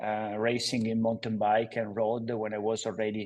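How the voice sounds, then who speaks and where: A man at a medium pitch and fairly slow pace, with an Italian accent. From Italy, Padova (northeast). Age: 40s. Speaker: cycling footwear entrepreneur. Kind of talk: interview. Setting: studio. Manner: halting, many fillers.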